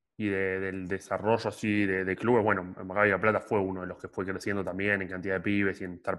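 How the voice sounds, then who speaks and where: Over a quiet background, a man with a fairly low voice talks at a very fast pace in a monotone, flat intonation. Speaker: podcast co-host. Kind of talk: casual interview chat.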